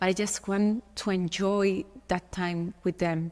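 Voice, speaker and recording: In a medium pitch, a woman talks with monotone, flat intonation. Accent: Spanish. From Spain. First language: Spanish. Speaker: model. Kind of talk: podcast interview. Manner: halting.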